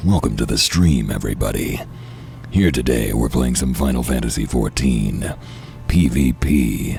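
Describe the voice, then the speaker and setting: A man performs a put-on character voice at a moderate pace. Clear background noise runs underneath. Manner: exaggerated deep streamer voice.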